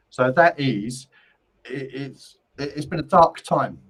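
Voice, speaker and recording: A man's fairly high-pitched voice with a Cockney accent and ordinary pitch variation. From London, England. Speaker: psychic medium. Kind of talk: live-stream card reading. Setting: live stream. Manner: casual.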